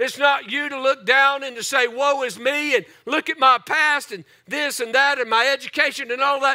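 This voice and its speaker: A man speaks in a raised, projected voice with a bright, sharp tone at a moderate pace against a quiet background. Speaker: pastor. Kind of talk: sermon. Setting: church. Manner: animated; repetitive, preacherly cadence. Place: church. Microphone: headset.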